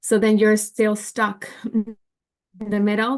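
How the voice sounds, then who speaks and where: A woman's medium-pitched voice with a Spanish accent, against a quiet background. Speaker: work group member. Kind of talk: online meeting discussion. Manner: halting.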